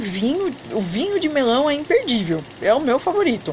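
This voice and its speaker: Amid noticeable background noise, a woman with an animated tone speaks fairly slowly in a high pitch that swings very widely. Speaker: online Turkish teacher and travel vlogger. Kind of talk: live stream chat. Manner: soft-spoken.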